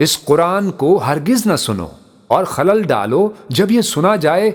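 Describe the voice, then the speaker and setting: This man's intonation is lively. His voice sits at a high pitch. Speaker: voice-over narrator. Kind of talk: religious scripture translation reading.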